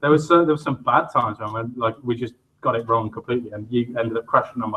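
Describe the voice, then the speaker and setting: A man delivers his words at a very fast pace with fairly even intonation and a medium pitch. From England, Northampton. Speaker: shop co-owner and show co-host. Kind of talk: casual chat.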